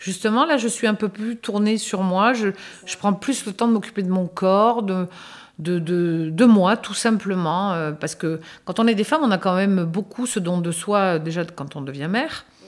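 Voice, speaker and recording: A woman speaks in an unremarkable speaking voice at medium pitch, with ordinary pitch variation and a fairly slow pace. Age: 60s. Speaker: interviewee sharing experience. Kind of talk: casual chat.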